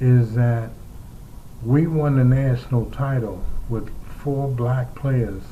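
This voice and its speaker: With an American accent, a man speaks at medium pitch in a dark, mellow, somewhat breathy tone. He goes very slowly, and the room echo is audible. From New York City (Harlem). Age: 70s. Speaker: former pro basketball player and sportscaster. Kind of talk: interview reminiscence.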